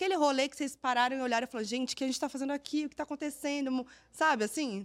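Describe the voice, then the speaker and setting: Animated and very fast, a woman talks in a high-pitched voice. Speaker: presenter and journalist. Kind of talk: interview.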